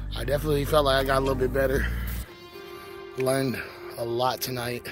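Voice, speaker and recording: A man talks at a moderate pace with clear music in the background. The sound is dry, with no echo. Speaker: skate vlogger. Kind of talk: casual vlog chat. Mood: grateful, relaxed. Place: street. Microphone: phone near.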